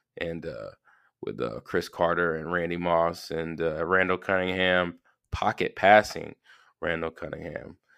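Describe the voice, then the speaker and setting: At a moderate pace, the speaker talks in a Southern US accent with monotone, flat intonation against a quiet background. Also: man. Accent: Southern US (Georgia). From US South, Georgia. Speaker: podcast host. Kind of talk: casual solo monologue. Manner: casual, filler-heavy.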